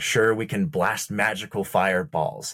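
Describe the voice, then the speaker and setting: A man's somewhat breathy voice in a dry, close sound with no echo. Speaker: opera singer, baritone. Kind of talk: casual chat and game play.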